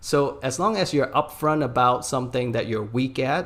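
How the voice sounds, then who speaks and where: Someone with a Hong Kong accent speaks at a moderate pace with ordinary pitch variation. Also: man. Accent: Hong Kong Cantonese-accented English. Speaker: entrepreneur and guest. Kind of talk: casual chat. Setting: livestream video call.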